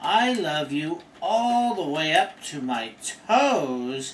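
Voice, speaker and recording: A man puts on a character voice with a high pitch and very wide pitch swings. He speaks at a very slow pace. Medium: read story.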